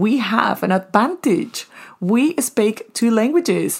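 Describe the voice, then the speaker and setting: Animated, warm tone from a somewhat breathy woman with a Spanish accent and lively intonation, on a very clean recording with a silent background. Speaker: podcast host. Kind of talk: solo podcast monologue with advice and personal stories. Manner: animated, warm, motivational.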